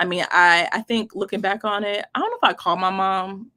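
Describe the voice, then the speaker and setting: With an American accent, a woman speaks at a medium pitch in an animated, bright, sharp tone on a very clean recording with a silent background. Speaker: travel content creator and social worker. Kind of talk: interview.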